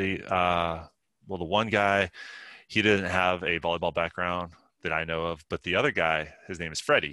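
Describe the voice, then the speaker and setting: In a very clean recording with a silent background, a man with an American accent speaks at a moderate pace, his voice very deep and low yet bright and sharp in tone. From western Pennsylvania, near Pittsburgh. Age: 30s. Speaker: Paralympic sitting volleyball player and army veteran. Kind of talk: casual interview. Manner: animated.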